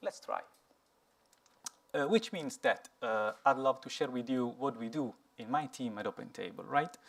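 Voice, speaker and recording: Using lively intonation and long, frequent pauses, a man with an Italian accent talks at a moderate pace and a fairly high pitch. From Italy. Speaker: software engineer, conference speaker. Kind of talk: conference talk. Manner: halting, many fillers.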